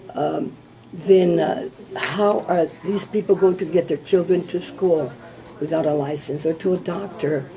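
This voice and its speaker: Against noticeable background noise, a woman speaks fairly slowly at a fairly low pitch with fairly even intonation. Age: 70s. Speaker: politician. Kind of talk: candidate forum interview.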